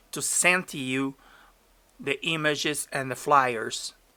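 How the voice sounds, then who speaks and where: On a very clean recording with a silent background, a man in a Portuguese accent talks at a very slow pace, his medium pitch carrying a bright, sharp tone. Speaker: DJ and streamer. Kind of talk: tutorial. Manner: halting.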